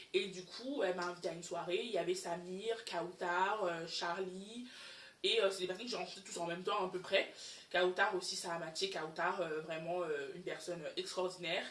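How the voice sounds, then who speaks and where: In an English accent, a woman speaks in a medium pitch with fairly even intonation. Audible room echo surrounds her voice. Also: moderate pace. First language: English (speaking French). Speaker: YouTuber. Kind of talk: personal storytime vlog. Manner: halting, many fillers.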